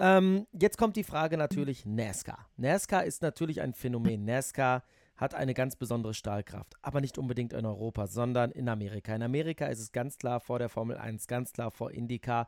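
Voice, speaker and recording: In a normal speaking voice with lively intonation, the speaker goes at a fairly quick pace with hardly any pauses, in a dry, close sound with no echo. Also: man, medium pitch for a man. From Netherlands. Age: 30s. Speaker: motorsport journalist and podcast host. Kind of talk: casual interview.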